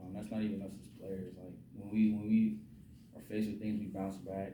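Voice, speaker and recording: A man with an American accent, fairly quick in pace, with audible room echo. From Virginia (Newport News). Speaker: college football quarterback. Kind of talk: post-game press conference. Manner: halting, many fillers and repetitions.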